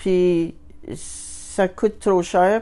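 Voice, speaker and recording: Her dark, mellow tone sits at medium pitch, and this woman keeps her intonation fairly even. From Northern Ontario (Sudbury), Canada. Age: 60s. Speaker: community health clinic client. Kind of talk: interview testimony. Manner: hesitant, with fillers and repetitions.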